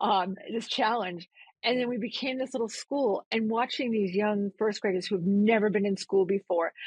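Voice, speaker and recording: This speaker, with a Massachusetts accent, sounds somewhat breathy and talks at a moderate pace with ordinary pitch variation. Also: woman, fairly high pitch for a woman. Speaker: nonprofit CEO. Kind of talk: interview conversation.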